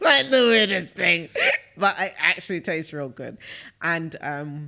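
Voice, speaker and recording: A man with a British accent speaks with a high pitch, lively intonation and a bright, sharp tone. His pace is fairly slow, and his loudness swings widely. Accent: British accent, even when speaking Shona. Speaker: podcast co-host. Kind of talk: casual chat.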